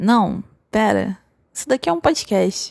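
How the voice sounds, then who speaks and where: A woman's medium pitch in a dry, close sound with no echo, on a very clean recording with a silent background. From interior of Rio de Janeiro state, Brazil. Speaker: podcast host, designer. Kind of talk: casual solo monologue. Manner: playful, humorous.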